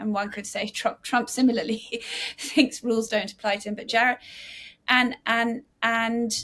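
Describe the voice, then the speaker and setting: In an English accent, a woman speaks at a moderate pace with a fairly high pitch. Her tone is bright and sharp, and her intonation fairly even. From England. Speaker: author and investigative journalist. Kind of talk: interview. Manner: halting, many restarts.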